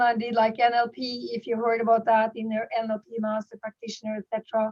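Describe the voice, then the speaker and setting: Pitched fairly high, a woman speaks with a Norwegian accent. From Norway. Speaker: network marketing leader and goal-setting coach. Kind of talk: online workshop presentation. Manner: halting with frequent repetitions.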